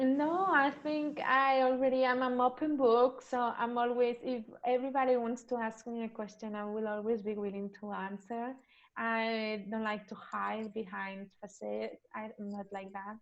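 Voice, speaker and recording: A woman's fairly high-pitched voice with ordinary pitch variation at a moderate pace. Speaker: virtual assistant business owner. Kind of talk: interview.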